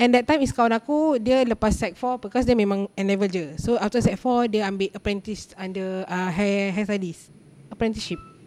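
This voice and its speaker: With noticeable background noise behind her, a woman speaks at a moderate pace in a medium pitch with ordinary pitch variation. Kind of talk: casual chat. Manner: code-switching Malay and English.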